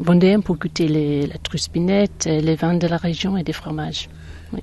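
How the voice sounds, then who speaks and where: This woman's voice sits fairly low in pitch and moves with ordinary pitch variation. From northern England, near Manchester. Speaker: holiday cottage owner. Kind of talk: interview. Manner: hesitant, many fillers.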